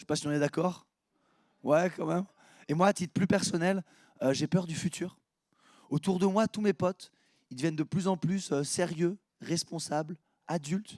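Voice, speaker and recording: The man's voice is high in pitch, captured with a dry, close sound and no echo. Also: very clean recording, silent background. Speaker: stand-up comedian. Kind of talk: stand-up. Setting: stage with audience.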